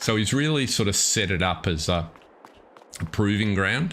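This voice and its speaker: With an Australian accent, a man speaks at a moderate pace in a bright, sharp tone. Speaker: gaming live streamer. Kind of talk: live stream commentary. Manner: casual, hesitant with fillers.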